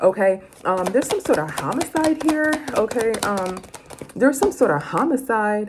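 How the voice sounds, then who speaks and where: Noticeable background noise sits behind a woman whose fairly high pitch swings very widely. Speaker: tarot reader. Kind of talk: tarot reading for viewers. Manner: fast; casual, conversational.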